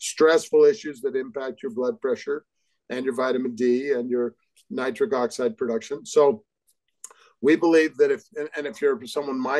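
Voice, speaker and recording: A man's voice with very wide pitch swings, a moderate pace and a quiet background. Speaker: guest. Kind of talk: interview answer. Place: home room. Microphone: video call.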